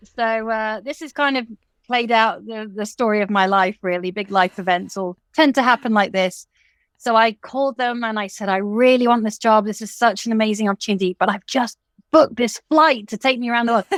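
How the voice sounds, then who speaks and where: In a very clean recording with a silent background, a woman speaks at a fairly quick pace. Her fairly high voice, in an English accent, shows ordinary pitch variation. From England. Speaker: fashion designer and college teacher. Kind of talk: interview.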